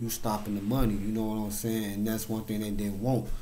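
A man's monotone, flat delivery over light background noise. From Chicago South Side; Chicago. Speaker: YouTuber. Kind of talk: casual monologue. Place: home room. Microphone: webcam.

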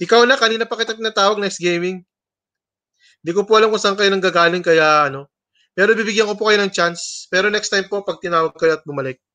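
A man speaks very fast in a high-pitched, bright and sharp voice, raised and projected, with ordinary pitch variation over a quiet background. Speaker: livestream host. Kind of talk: livestream hosting, casual chat with viewers. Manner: loud; animated. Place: home room. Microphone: webcam.

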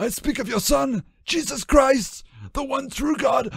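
A man does a put-on character voice at an extremely high pitch, strained and with vocal fry. He speaks at a fairly slow pace. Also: ordinary pitch variation, fairly bright tone.

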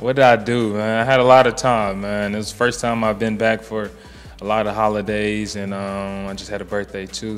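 Over faint music in the background, a man speaks at a moderate pace with a fairly low pitch and monotone, flat intonation. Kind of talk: interview answer. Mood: relaxed, casual. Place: bar. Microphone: handheld.

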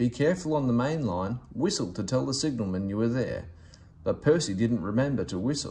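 Plain reading aloud is given with lively intonation.

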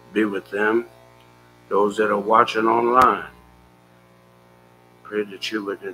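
Monotone, flat intonation at a fairly slow pace, with music in the background. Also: man. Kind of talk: prayer. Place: church. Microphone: podium.

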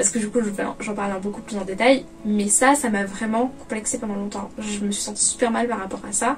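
A woman's fairly high voice, fairly even in intonation, at a fairly quick pace over light background noise. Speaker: YouTuber. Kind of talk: personal vlog monologue; casual vlog chat. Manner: loud; hesitant, many fillers. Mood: personal, candid confession. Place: home room. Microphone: camera far.

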